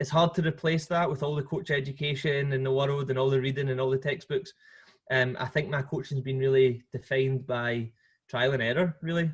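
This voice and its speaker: Somewhat breathy, a man with a Scottish accent speaks at a fairly quick pace with fairly even intonation. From Scotland. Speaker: football coach. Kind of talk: podcast interview. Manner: hesitant, many fillers and repeats.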